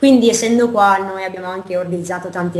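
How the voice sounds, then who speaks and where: A woman speaks at a fairly quick pace with fairly even intonation. Noticeable background noise and audible room echo fill the recording. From United States. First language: English (speaking Italian). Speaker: startup co-founder. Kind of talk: interview.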